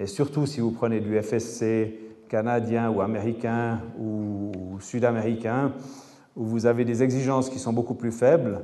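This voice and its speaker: The speaker has a Swiss accent and a fairly slow pace. Intonation is fairly even, with audible room echo. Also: man, medium pitch for a man. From French-speaking Switzerland. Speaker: architect and engineer, lecturer. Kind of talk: lecture.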